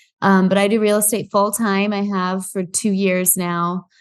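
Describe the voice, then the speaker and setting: Against a quiet background, a woman with a Midwestern American accent speaks at a very slow pace and medium pitch in a monotone, flat intonation. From US Midwest, Iowa. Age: 20s. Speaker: real estate investor. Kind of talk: podcast interview.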